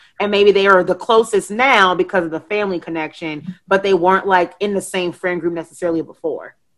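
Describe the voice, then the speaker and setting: A normal speaking voice at a fairly quick pace, with fairly even intonation and hardly any pauses. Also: woman, medium pitch for a woman. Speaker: podcast host and guest on pop culture show. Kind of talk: casual chat.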